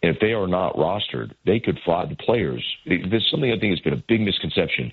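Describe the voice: Speaking at a moderate pace, a man has a slightly husky edge and lively intonation.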